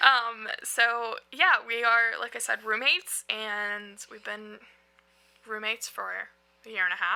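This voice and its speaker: This woman talks at a fairly slow pace in a fairly high pitch, her tone animated, her loudness swinging widely, her pitch varying an ordinary amount, all in a strong Southern US accent. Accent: thick Southern. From US South, North Carolina. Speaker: podcast co-host. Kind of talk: casual chat. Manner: talkative, animated.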